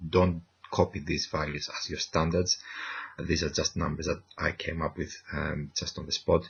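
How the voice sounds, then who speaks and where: Quietly and at a fairly slow pace, a man speaks at a very deep, low pitch with monotone, flat intonation. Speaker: university lecturer. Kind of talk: tutorial. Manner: quiet, keeping voice down; hesitant, many fillers.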